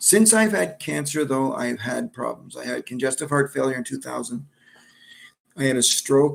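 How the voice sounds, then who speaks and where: A man with a medium pitch speaks with an Ontario accent. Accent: Canadian English (Ontario). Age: 60s. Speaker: cancer survivor. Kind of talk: personal testimony. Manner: halting, with fillers and repetitions.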